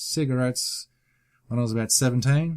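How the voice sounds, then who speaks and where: The recording is very clean and the background silent. A man talks with fairly even intonation. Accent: Australian. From Australia, Queensland. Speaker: YouTuber. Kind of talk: casual Q and A vlog. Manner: casual, hesitant with fillers.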